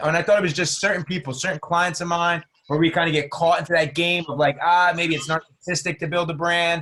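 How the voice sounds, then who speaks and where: A man with a New Jersey accent, high-pitched, bright and sharp, animated in tone, racing along very fast with hardly any pauses. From New Jersey, US. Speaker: entrepreneur and business mentor. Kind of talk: podcast interview.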